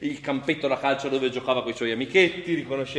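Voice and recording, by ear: Someone is reading aloud. It is in a natural voice.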